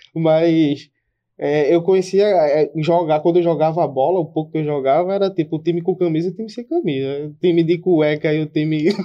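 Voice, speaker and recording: A man with a plain, everyday voice speaks at a fairly high pitch with fairly even intonation. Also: moderate pace. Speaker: podcast co-host, streamer. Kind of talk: casual chat.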